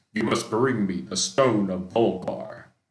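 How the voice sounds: Using a put-on character voice, a man speaks with a fairly low pitch at a fairly slow pace.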